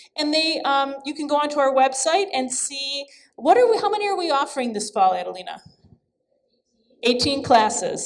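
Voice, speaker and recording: A woman's loud, high voice carries lively intonation. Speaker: arts center director. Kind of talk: event introduction speech. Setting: gallery event with audience.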